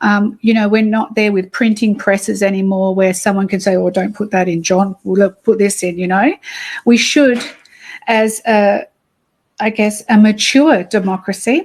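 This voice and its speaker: Somewhat breathy, a woman with a medium pitch speaks with an Australian accent at a moderate pace and fairly even intonation. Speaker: activist. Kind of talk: interview. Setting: cafe, livestream. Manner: hesitant, many fillers.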